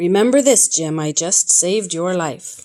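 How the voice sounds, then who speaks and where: This woman puts on a character voice. Her tone is raspy and her pitch sits in the medium range. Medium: read story.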